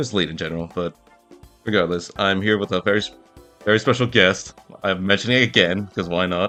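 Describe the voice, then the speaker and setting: Over music in the background, a man with a fairly low voice talks fairly quickly with ordinary pitch variation and long, frequent pauses. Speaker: podcast host. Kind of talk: casual podcast conversation.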